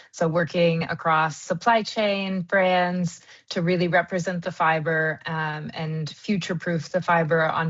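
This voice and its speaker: A woman with an American accent talks at a fairly slow pace in a fairly low pitch, with an unremarkable speaking voice. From US, Kansas. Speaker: wool industry marketing consultant. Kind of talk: interview. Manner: many fillers (um, uh).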